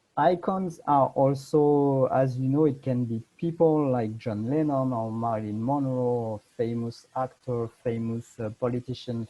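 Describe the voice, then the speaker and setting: In a French accent, a man speaks fairly slowly with a dark, mellow tone, medium pitch and ordinary pitch variation. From France. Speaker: fashion designer. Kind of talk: lecture. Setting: video call. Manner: halting.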